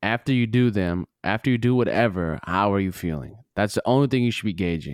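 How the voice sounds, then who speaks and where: An American-accented man with an ordinary speaking voice and a fairly low pitch speaks at a fairly quick pace, with ordinary pitch variation and very even loudness. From Minnesota, US Midwest. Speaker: podcast guest, former military nuclear weapons guard. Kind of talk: casual chat. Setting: studio.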